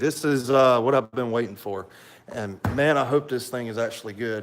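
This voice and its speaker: A man with a strong Southern US accent at a moderate pace. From US South, south Alabama coast. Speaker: YouTuber reviewing military rations. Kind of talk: live stream product review. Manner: casual, many fillers.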